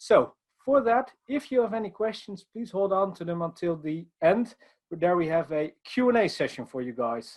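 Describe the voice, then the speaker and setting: With a Dutch accent, the speaker goes at a moderate pace, using very wide pitch swings. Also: man, high pitch for a man. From Netherlands. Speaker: IT consultant. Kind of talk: conference presentation.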